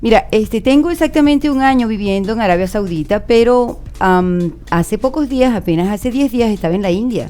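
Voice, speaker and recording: Over music in the background, a woman with a fairly high pitch talks at a moderate pace with lively intonation and hardly any pauses. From Venezuela, Margarita Island. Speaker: university professor. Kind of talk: radio interview. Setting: radio studio.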